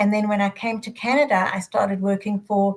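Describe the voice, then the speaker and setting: A woman speaks at a medium pitch and a fairly quick pace, with a South African accent. Her voice is somewhat breathy, and her intonation stays fairly even. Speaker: adoption educator, retired social worker. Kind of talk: panel discussion.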